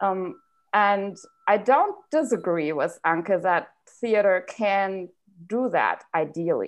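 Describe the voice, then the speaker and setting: Against a quiet background, a woman with a German accent speaks at a very slow pace in a medium-pitched voice with ordinary pitch variation. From Germany. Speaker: university German lecturer. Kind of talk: casual chat.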